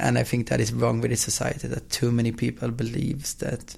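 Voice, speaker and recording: This man talks at a fairly quick pace with a Swedish accent. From Sweden. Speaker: football app company founder. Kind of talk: interview. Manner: fast.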